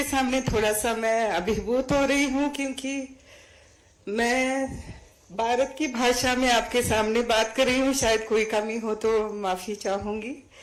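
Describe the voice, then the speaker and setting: Audible room echo surrounds a woman with a Sri Lankan accent whose fairly high pitch, fairly even intonation and very even loudness hold throughout. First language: Sinhala (speaking Hindi). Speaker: award recipient, Hindi scholar. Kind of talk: acceptance speech. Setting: auditorium stage with audience.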